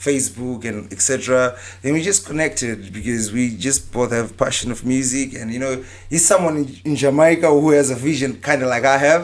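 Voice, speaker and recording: With a Zimbabwean accent, a man speaks fairly quickly at medium pitch with ordinary pitch variation. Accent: African accent, Zimbabwean. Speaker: dancehall and reggae artist. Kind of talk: casual podcast interview.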